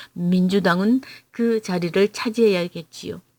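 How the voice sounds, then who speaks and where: A woman speaks at a fairly slow pace with a Gyeongsang accent. The sound is dry and close, with no echo. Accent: Gyeongsang dialect pronunciation. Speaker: political YouTuber. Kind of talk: prepared political commentary read aloud. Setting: at home. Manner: measured, read-aloud delivery.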